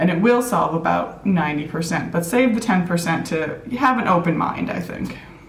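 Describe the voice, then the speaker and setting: In an American accent, a woman talks at a fairly slow pace with lively intonation in a fairly low pitch, with audible room echo and noticeable background noise. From US Midwest, Minneapolis, Minnesota. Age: 30s. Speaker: productivity app consultant. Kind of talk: casual interview.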